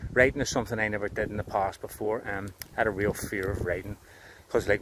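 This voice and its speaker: A man in a Belfast accent talks at a very fast pace, his pitch fairly low. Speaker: tree planter and content creator. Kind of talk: casual vlog monologue. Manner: fast when excited.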